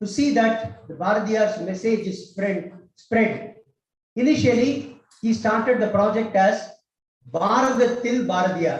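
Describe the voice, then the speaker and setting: A man with a Tamil accent talks at a moderate pace in a high pitch with ordinary variation. Audible room echo fills the recording. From Tamil Nadu, India. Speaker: cultural institute director, speaker. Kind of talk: public speech.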